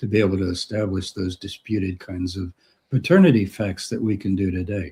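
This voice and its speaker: Recorded very cleanly against a silent background, a man speaks at a moderate pace with a somewhat breathy sound. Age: 70s. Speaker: retired professor of religious studies. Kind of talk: interview. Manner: animated.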